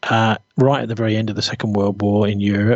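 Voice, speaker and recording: Medium-pitched man in a British accent, at a fairly quick pace. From Britain. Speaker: journalist. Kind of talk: interview conversation.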